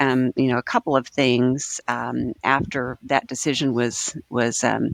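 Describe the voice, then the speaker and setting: A woman with an American accent speaks at a very deep, low pitch, with vocal fry. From Oklahoma. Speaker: government agency director. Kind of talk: podcast interview.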